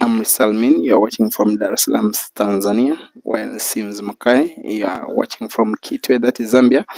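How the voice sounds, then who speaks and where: The sound is dry and close with no echo as this man keeps a moderate pace. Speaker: pool match commentator. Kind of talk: live commentary. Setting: bar venue, live stream.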